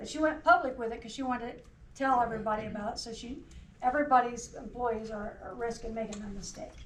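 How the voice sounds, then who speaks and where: Someone with an American accent talks at a very fast pace with big swings in loudness, amid audible room echo and noticeable background noise. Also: woman, high pitch for a woman, ordinary pitch variation. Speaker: cybersecurity trainer. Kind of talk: workplace training presentation. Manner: short phrases paused for interpreter.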